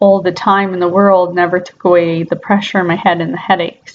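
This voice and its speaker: A woman speaks at a medium pitch with fairly even intonation. It is an unremarkable speaking voice. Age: 20s. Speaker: patient fundraising for surgery. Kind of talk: personal testimony.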